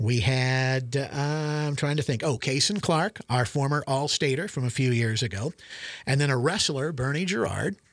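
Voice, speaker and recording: A man's fairly high voice with a Midwestern US accent, moderate pace, ordinary pitch variation and very even loudness, in a very clean recording with a silent background. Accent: Midwestern US, general American. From central Nebraska. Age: 60s. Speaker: retired sports broadcaster. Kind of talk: casual interview chat.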